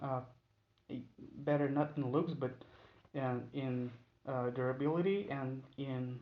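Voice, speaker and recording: Pausing long and often, a man with a non-native accent speaks at a fairly slow pace with fairly even intonation. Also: medium pitch for a man. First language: not English. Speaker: knife maker. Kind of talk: tutorial. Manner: halting, many fillers.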